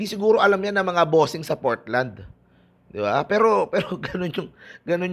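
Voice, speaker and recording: A man's high-pitched voice with lively intonation, at a moderate pace. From Philippines. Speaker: basketball YouTuber. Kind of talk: casual vlog commentary. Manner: animated. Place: home room. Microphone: earbuds.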